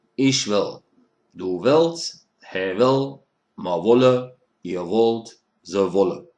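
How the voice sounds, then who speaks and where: Leaving long, frequent pauses, a man speaks at a very slow pace in a medium pitch with lively intonation. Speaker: Kölsch dialect teacher. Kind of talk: online language lesson. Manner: casual, friendly.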